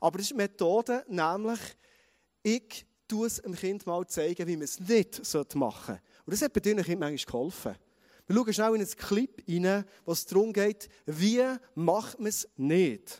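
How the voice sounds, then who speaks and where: A man with a Bernese accent speaks at a high pitch at a moderate pace, his tone animated and his pitch variation ordinary. The sound is dry and close, with no echo. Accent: Swiss German (Bernese). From Switzerland, Bernese Oberland. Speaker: pastor. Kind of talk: sermon.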